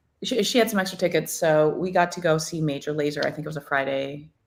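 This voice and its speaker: In a Spanish accent, a woman speaks at a moderate pace. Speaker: podcast guest. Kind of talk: casual chat.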